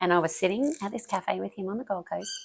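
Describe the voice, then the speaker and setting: A woman speaks with an Australian accent at a moderate pace. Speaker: business founder. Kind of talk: interview. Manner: excitable, pitch rises.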